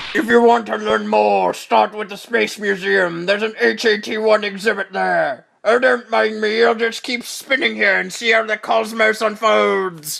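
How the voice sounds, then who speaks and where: A man's high-pitched, put-on character voice, theatrical in tone, at a moderate pace with hardly any pauses. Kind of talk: comic overacting. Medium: fan dub. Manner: theatrical, melodramatic.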